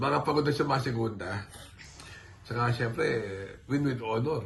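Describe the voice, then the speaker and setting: Audible room echo surrounds a man's voice. He talks at a moderate pace with lively intonation. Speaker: horse racing tipster. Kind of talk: casual chat.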